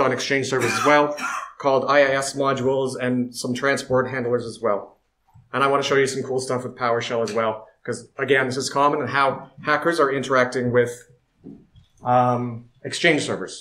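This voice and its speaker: A man speaks at a medium pitch and a moderate pace. His intonation stays fairly even, and audible room echo can be heard. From Canada. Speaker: security researcher. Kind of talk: conference talk.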